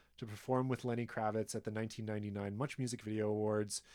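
Here a man with a Canadian accent uses a normal speaking voice at medium pitch, keeping his intonation fairly even. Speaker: podcast guest host, history presenter. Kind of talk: casual chat with long researched storytelling.

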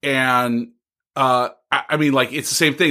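The recording is very clean with a silent background as a man with an American accent speaks at a moderate pace in a bright, sharp tone. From Bakersfield, California. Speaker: fellow podcaster. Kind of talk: casual chat.

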